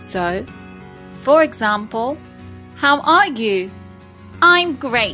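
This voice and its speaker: Music plays behind the voice. A woman talks very slowly. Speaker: English teacher. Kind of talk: ESL lesson narration. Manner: slow, clear.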